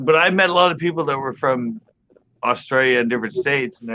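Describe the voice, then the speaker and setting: A man with a Californian accent, fairly high-pitched, very fast, with ordinary pitch variation. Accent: California American. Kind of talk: casual, conversational.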